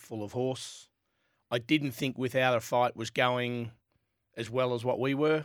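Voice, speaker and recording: Medium-pitched man with an Australian accent, monotone, flat intonation, very clean recording with a silent background. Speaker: jockey. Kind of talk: radio sports panel chat.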